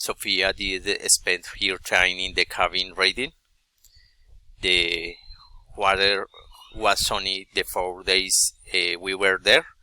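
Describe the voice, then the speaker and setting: In a Colombian accent, a man with a very deep, low pitch speaks very slowly in a flat monotone with long, frequent pauses, the sound dry and close with no echo. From Colombia, Bogotá. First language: Spanish. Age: 40s. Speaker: adult student. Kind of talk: class presentation. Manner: halting, many hesitations.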